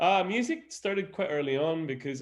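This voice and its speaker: A male voice at a moderate pace. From Quebec, Montreal. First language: French. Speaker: opera singer. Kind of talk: interview.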